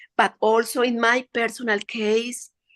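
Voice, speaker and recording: A woman's fairly high-pitched voice with a Spanish accent, at a fairly slow pace. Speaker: meditation participant. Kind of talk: casual chat. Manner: halting.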